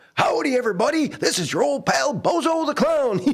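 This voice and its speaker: A man's put-on character voice, extremely high-pitched, at a fairly quick pace. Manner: cheerful, folksy.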